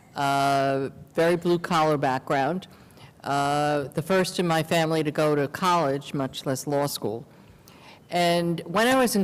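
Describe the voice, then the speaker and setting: A woman's very deep, low voice in a New York accent, with ordinary pitch variation at a moderate pace. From New York City, Queens. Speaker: lawyer. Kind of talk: interview conversation.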